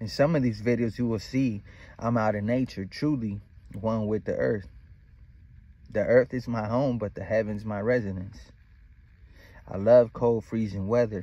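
This man talks at a moderate pace with a dark, mellow tone, taking long, frequent pauses in a dry sound with no echo. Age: 30s. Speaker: spiritual vlogger. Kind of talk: casual monologue. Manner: animated. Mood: relaxed, reflective, confident.

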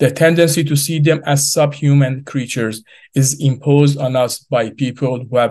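A man's somewhat breathy voice comes through over a quiet background. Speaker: remote speaker. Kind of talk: prepared speech. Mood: earnest and serious. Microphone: video call.

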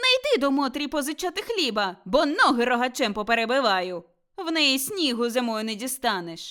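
Shouting in a shrill, put-on character voice, a woman speaks at a high pitch and a moderate pace. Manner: shouting, shrill.

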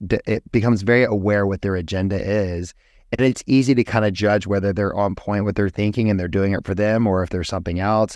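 A man with a normal speaking voice and an American accent, fairly low in pitch, at a fairly quick pace, with dry sound, no echo and a quiet background. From US South, Georgia. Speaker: plastic surgeon; guest. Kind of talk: interview conversation. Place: office. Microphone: studio mic.

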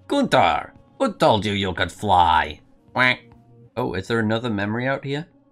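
A man with a Geordie accent talks at a fairly slow pace. His tone is playful and his intonation lively, with faint music in the background. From Northeast England. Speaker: game streamer. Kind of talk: let's play gameplay commentary. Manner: laid-back, playful. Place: home room.

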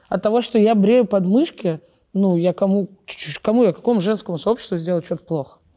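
A woman talks at a fairly quick pace over a quiet background. Her tone is dark and mellow, with ordinary pitch variation. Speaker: show host. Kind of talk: casual chat. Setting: studio. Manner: loud. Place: studio.

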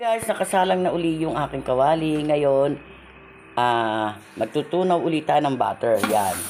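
Speaking at a fairly slow pace, a woman with a very deep, low pitch and a dark, mellow tone makes very wide pitch swings. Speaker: cooking vlogger. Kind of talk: cooking tutorial.

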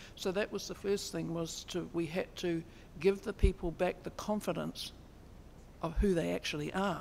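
A woman with a New Zealand accent speaks at a moderate pace in a fairly low, monotone voice with vocal fry and flat intonation, over light background noise. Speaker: Māori constitutional advocate; speaker. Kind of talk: lecture. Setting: stage with audience. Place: hall. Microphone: podium.

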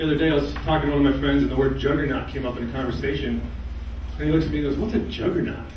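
A man talks at a very fast pace. There is audible room echo and light background noise. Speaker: stand-up comedian. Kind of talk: stand-up comedy set of one-liners. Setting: stage with live audience. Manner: deadpan, punchy one-liner delivery with quick pivots to punchlines; self-deprecating, casually chatty with the crowd. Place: stage.

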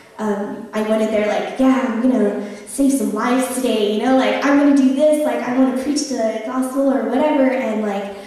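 Strong room echo surrounds the recording. A woman speaks at a moderate pace. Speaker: preacher. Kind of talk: sermon, personal testimony. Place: church.

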